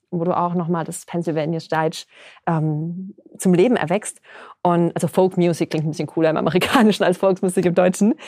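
With a dry, close sound and no echo, a woman talks fairly quickly in a normal speaking voice at a fairly low pitch. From Palatinate, Germany. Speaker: podcast host. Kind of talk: casual chat. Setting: recording room.

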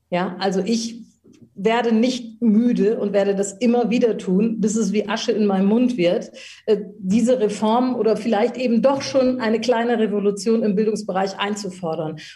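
At a moderate pace, the voice sounds dark, mellow and somewhat breathy, with fairly even intonation and very even loudness. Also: woman, fairly high pitch for a woman. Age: 50s. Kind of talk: interview.

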